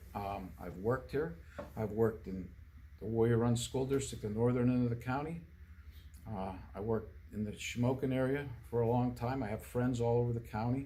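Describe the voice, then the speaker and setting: An American-accented man speaks in a somewhat breathy, dark, mellow voice at a medium pitch with ordinary pitch variation. He leaves long, frequent pauses, and audible room echo surrounds him. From central Pennsylvania, US. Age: 60s. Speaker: political candidate. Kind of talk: interview. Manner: halting, many fillers and restarts.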